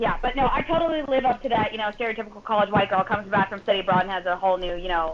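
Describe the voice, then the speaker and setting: A woman's medium-pitched voice with an American accent, very fast and with hardly any pauses, ordinary pitch variation and noticeable background noise. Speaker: podcast guest, host's older sister. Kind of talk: casual chat.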